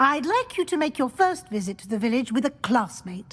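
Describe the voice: A woman performs a put-on character voice at a high pitch and moderate pace. Her tone is fairly bright, with big pitch swings.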